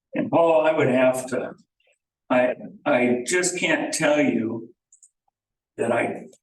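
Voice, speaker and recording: A man with a Midwestern American accent speaks at a very slow pace with long, frequent pauses and ordinary pitch variation. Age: 60s. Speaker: property owner. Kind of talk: public meeting discussion. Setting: village board meeting.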